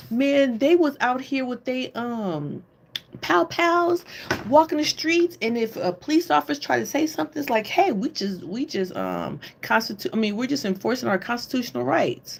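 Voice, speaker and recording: In an American accent, a woman with a high voice speaks at a moderate pace in an animated tone, her pitch swinging very widely over noticeable background noise. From Oakland, California, US. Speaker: livestream host. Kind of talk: casual livestream chat. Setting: live stream on computer.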